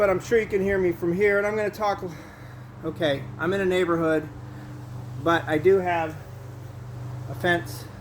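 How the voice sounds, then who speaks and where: A man with an American accent and a fairly high pitch, at a fairly quick pace against noticeable background noise. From Southern California. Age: 50s. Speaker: vlogger. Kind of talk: casual vlog talk. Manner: loud.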